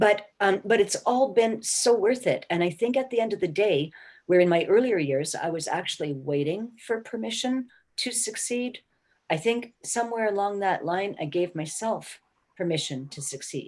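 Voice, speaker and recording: With a normal speaking voice at a medium pitch, a woman speaks at a moderate pace and with lively intonation over a quiet background. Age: 60s. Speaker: career mentor. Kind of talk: motivational talk.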